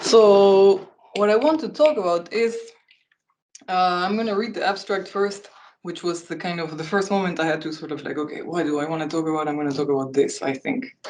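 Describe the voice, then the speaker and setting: A woman's medium-pitched voice at a fairly quick clip, with audible echo from the room. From northern Spain, Basque Country. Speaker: academic presenter. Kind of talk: lecture.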